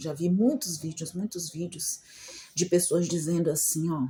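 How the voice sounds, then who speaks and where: A woman talks at a fairly slow pace in a fairly low voice. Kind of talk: casual vlog talk. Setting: at home. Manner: soft-spoken, quieter than usual.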